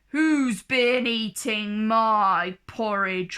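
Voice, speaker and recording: A woman speaks in a put-on character voice, growling at a fairly high pitch. Her pitch varies in an ordinary way, and the recording is very clean with a silent background. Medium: read story.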